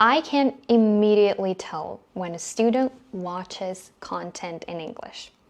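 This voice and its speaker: Against a quiet background, a woman talks with a non-native accent. Her pitch is medium and her intonation lively. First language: not English. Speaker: English teacher. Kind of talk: casual chat.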